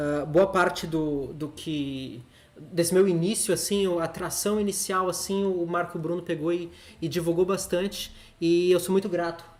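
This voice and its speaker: Intonation here is fairly even. The talking proceeds at a fairly slow pace. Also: man, high pitch for a man. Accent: Brazilian. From Brazil. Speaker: streamer. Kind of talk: live stream chat.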